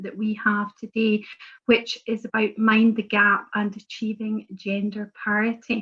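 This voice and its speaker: In a Scottish accent, a woman speaks at a fairly slow pace with a fairly high pitch and a somewhat breathy voice. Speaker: member of parliament, webinar chair. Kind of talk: webinar moderation. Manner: hesitant, many fillers.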